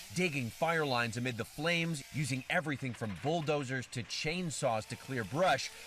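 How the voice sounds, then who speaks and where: At a moderate pace and with hardly any pauses, a man with a normal speaking voice talks at fairly high pitch with ordinary pitch variation. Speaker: TV news correspondent reporting on wildfires. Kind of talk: TV news report voiceover.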